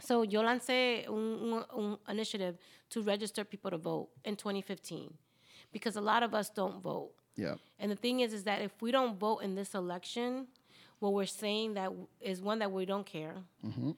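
In a very clean recording with a silent background, a woman of medium pitch speaks at a fairly slow pace with fairly even intonation. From Latin American immigrant. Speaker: city council candidate. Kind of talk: casual chat.

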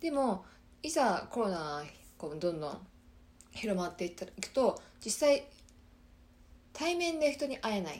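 A woman speaks at a moderate pace with very wide pitch swings and big swings in loudness. Long pauses come often. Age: 20s. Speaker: podcast host, systems engineer. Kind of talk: casual solo talk. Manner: halting.

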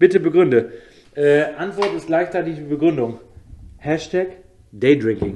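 A man's fairly high, dark, mellow voice at a fairly slow pace, with lively intonation and long, frequent pauses. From Osnabrück, northern Germany. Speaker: DJ. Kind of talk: casual chat.

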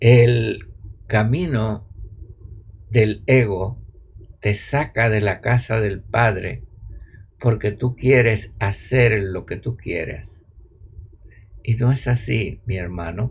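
At a very slow pace, a man speaks at medium pitch with ordinary pitch variation, vocal fry, and long, frequent pauses. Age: 80s+. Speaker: spiritual teacher. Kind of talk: spiritual talk; online live stream.

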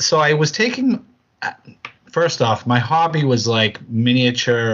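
In a New England accent, a man talks at a very slow pace. His pitch variation is ordinary. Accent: New England American. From Massachusetts, US. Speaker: podcast co-host, tabletop wargamer. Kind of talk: casual chat.

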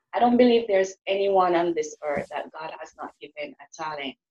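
A woman with a Jamaican accent at a moderate pace, in a dry, close sound with no echo. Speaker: author and motivational speaker. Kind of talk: interview.

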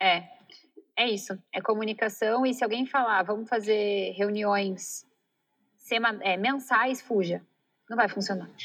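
Long, frequent pauses break up a woman's fairly high-pitched speech, delivered with fairly even intonation. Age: 30s. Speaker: entrepreneur, company CEO. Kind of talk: interview conversation.

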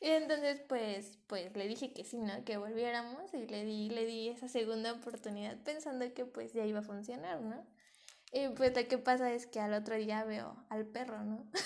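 A woman with a fairly high pitch talks while noticeable background noise carries on. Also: ordinary pitch variation, moderate pace. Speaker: podcast co-host. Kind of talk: casual chat.

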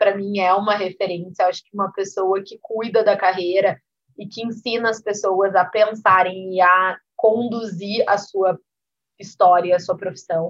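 A woman's plain, everyday voice at medium pitch, delivered at a fairly slow pace. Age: 30s. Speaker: business executive and entrepreneur. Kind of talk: interview.

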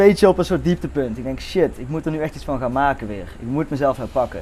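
Fairly high-pitched male speech in a plain, everyday voice, fairly quick in pace and ordinary in pitch variation. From Netherlands. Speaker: podcast guest, friend of the host. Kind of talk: casual chat.

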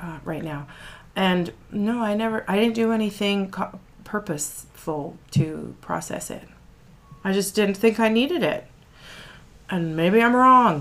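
With lively intonation and a medium pitch, a woman speaks at a fairly slow pace, leaving long, frequent pauses. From born outside Canada, lives in Canada. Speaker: podcast co-host and doula. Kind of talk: casual chat.

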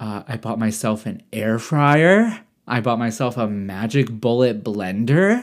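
A man with a Midwestern US accent, medium-pitched and animated in tone, fairly slow, with ordinary pitch variation, on a very clean recording with a silent background. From Michigan. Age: 20s. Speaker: podcaster. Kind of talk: casual chat.

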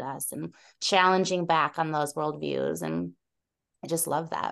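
A woman speaks over a quiet background. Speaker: podcast co-host and trauma therapist. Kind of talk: casual interview conversation.

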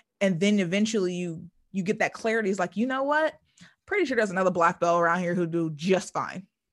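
A woman talks at a very fast pace, her pitch medium with ordinary variation. Behind her the background is quiet. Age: 30s. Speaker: podcast host. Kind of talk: casual chat.

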